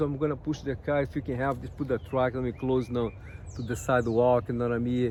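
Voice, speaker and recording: Speaking with a Brazilian accent, a man with a medium pitch moves at a fairly quick pace with ordinary pitch variation. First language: Portuguese. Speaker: spiritual guidance youtuber. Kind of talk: casual vlog monologue. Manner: halting, repetitive fillers; animated.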